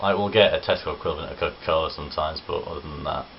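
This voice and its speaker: Noticeable noise fills the background. Over it, a man talks at a moderate speed. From English East Midlands, Worksop, Nottinghamshire. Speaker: vlogger. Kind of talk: casual vlog. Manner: casual, chatty.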